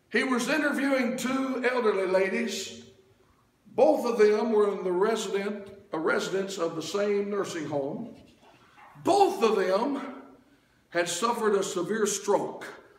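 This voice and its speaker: A man shouts at a high pitch with ordinary pitch variation, at a fairly slow pace with long, frequent pauses. Audible room echo surrounds the voice. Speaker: preacher. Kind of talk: revival-style sermon building to a call-and-response crescendo. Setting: church. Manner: rhythmic, repetitive wordplay hammering a phrase for emphasis; fervent and rousing, punctuated by amens and urging shouts. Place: church. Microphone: camera far.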